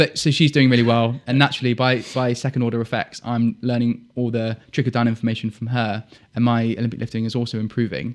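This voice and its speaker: Someone with a southern English accent speaks at a very fast pace with hardly any pauses and fairly even intonation against a quiet background. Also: man, medium pitch for a man. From southern England, Dorset (Poole). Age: 20s. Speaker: military officer and fitness coach. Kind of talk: podcast interview. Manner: casual, conversational.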